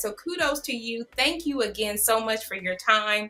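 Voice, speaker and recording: A woman with a fairly high pitch speaks at a fairly slow pace, her intonation lively, over noticeable background noise. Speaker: online show host. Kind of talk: interview. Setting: livestream.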